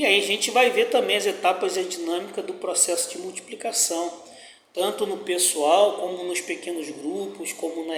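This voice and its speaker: A man with a high pitch and ordinary pitch variation speaks at a moderate pace, with noticeable background noise and audible room echo. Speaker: pastor teaching Bible study. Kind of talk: Bible study lesson.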